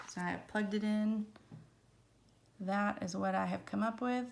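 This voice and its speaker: With an American accent and a medium pitch, a woman speaks at a moderate pace with fairly even intonation and long, frequent pauses, amid audible room echo. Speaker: math teacher. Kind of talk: lecture. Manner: casual, chatty.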